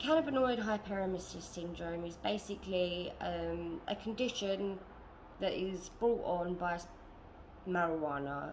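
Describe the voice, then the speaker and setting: A woman with a British accent talks at a fairly slow pace and medium pitch with ordinary pitch variation, with audible room echo and noticeable background noise. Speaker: vlogger. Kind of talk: personal testimony vlog. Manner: laid-back.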